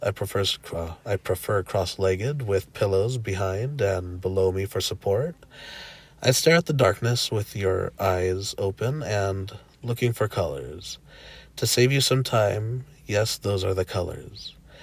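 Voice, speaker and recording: A man with a fairly low pitch talks at a fairly slow pace, his voice somewhat breathy and his pitch varying in an ordinary way. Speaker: spiritual channel host. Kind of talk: reading of an online post.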